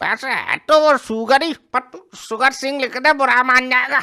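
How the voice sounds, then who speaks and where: A woman puts on a cartoonish character voice, high in pitch, at a moderate pace. Her intonation stays fairly even while her loudness swings a lot. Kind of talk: desi comic cartoon dialogue. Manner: gruff, scolding, sarcastic.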